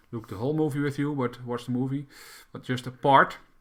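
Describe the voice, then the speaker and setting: With a Dutch accent, a man talks at a medium pitch. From Netherlands. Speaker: crypto YouTuber. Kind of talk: tutorial. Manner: halting.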